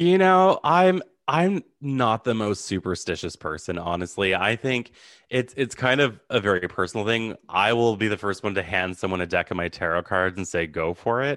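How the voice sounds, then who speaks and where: An unremarkable speaking voice with a Canadian accent and lively intonation comes through over a quiet background. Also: man, fairly low pitch for a man, moderate pace. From Canada, Ottawa. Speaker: psychic medium. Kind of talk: interview.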